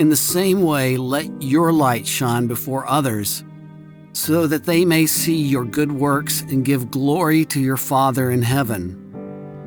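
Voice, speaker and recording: Music plays in the background. A man speaks very slowly at medium pitch, with ordinary pitch variation. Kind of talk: devotional audiobook reading.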